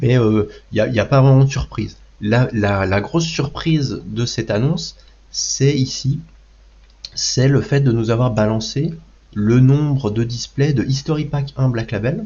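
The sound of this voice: With a dark, mellow tone, a man speaks at a fairly slow pace, his medium pitch showing ordinary variation.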